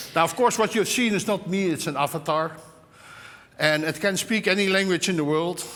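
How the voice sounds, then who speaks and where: A man with a Dutch accent speaks at a fairly quick pace, his high voice bright and sharp in tone. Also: ordinary pitch variation. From Netherlands. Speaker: tech executive opening a conference. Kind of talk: conference opening speech. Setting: stage with audience. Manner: halting.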